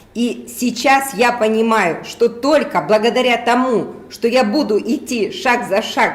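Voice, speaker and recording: Over noticeable background noise, a woman with a fairly high pitch speaks at a very slow pace. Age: 60s. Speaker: network marketing distributor. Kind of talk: testimony. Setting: live stream. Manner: animated.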